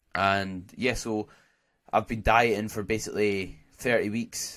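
A man with a Scottish accent talks at a fairly slow pace and a fairly low pitch. His intonation is monotone and flat, on a very clean recording with a silent background. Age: 20s. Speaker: podcast host and natural bodybuilder. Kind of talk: casual solo podcast monologue.

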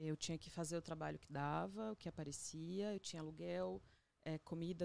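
Dry, close sound with no echo around a woman's voice at a moderate pace. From Agreste of Pernambuco, Brazil. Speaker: photographer and visual artist. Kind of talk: casual interview. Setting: studio.

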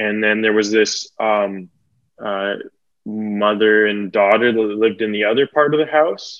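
A man with a Western Canadian accent, fairly low in pitch, at a fairly slow pace with fairly even intonation. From Metro Vancouver, British Columbia, Canada. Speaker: stand-up comedian. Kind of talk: casual chat. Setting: podcast recording.

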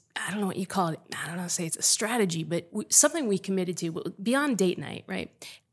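A woman's ordinary speaking voice at a medium pitch, with lively intonation, in a very clean recording with a silent background. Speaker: podcast host. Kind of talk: casual chat.

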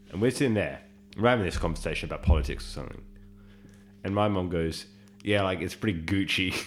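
A man with an Australian accent talks at a very fast pace, broken by long, frequent pauses. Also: ordinary pitch variation. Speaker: podcast co-host. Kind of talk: casual chat.

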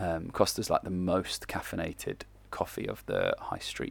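On a very clean recording with a silent background, a man speaks with an English accent. His pace is moderate. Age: 30s. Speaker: football coach. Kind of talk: casual monologue. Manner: casual.

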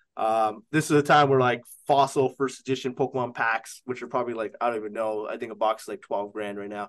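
Against a quiet background, a man with a Canadian accent talks at a very fast pace in a medium pitch with fairly even intonation. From Canada. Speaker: sports card auction house owner. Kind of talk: casual chat.

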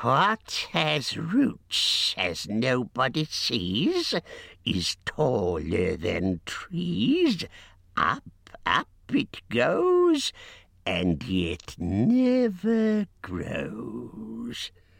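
Over a very clean recording with a silent background, a man uses a put-on character voice at a medium pitch, speaking very slowly with hissing.

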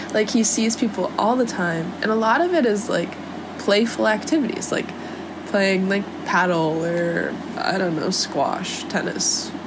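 A woman's medium-pitched voice with an American accent, fairly slow and lively in intonation, over noticeable background noise. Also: very even loudness. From San Diego, California. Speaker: podcaster. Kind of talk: personal audio journal, emotional solo monologue. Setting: voice memo recorded solo, some road noise. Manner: emotional, confessional.

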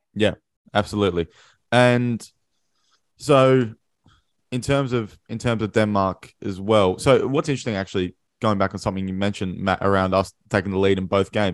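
Pitched fairly low, a man with an Australian accent speaks with long, frequent pauses against a quiet background. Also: ordinary pitch variation, moderate pace. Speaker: podcast host. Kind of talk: casual chat. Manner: excitable.

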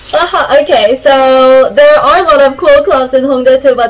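A woman with a Korean accent speaks at a high pitch and a moderate pace. Noticeable background noise runs behind her. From South Korea. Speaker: recent graduate. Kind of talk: casual chat.

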